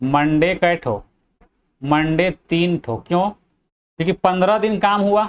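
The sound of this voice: The delivery is slow and fairly even in intonation, with a clear, smooth tone. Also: man, high pitch for a man.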